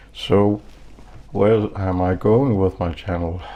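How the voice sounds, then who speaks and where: Ordinary pitch variation from a man with a non-native accent. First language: not English. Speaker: knife reviewer YouTuber. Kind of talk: casual vlog monologue. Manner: slow, halting.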